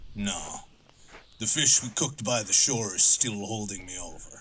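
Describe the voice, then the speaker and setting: A put-on character voice from a man, fairly low in pitch, at a moderate pace. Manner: terse.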